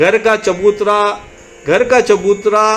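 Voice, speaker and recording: Noticeable noise fills the background. Through it, a man talks. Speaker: poet. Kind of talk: poetry reading.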